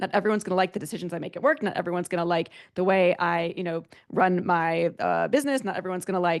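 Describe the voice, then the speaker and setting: A woman talks at a very fast pace and a fairly low pitch. The background is quiet. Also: ordinary pitch variation. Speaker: author and tech executive. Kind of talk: interview. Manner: animated.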